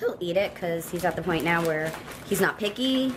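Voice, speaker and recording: A woman with a Long Island accent speaks over noticeable background noise. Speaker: pet vlogger. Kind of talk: casual vlog tutorial. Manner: chatty, talkative.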